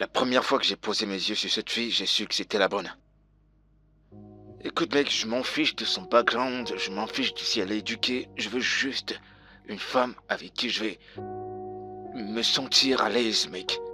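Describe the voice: A man does a put-on character voice at a fairly low pitch, bright and sharp in tone with a slightly husky edge and ordinary pitch variation. He goes at a fairly slow pace as faint music plays in the background.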